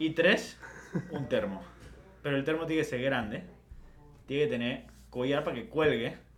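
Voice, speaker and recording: Moderate pace with long, frequent pauses and audible room echo. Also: man, fairly high pitch for a man, lively intonation. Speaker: podcast co-host. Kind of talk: casual chat.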